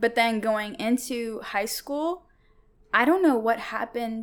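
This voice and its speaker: In a General American accent, a woman speaks at a fairly slow pace with a fairly high pitch and lively intonation. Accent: general American, clear enunciation. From Seattle area, US. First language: Tigrinya. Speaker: guest. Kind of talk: casual chat.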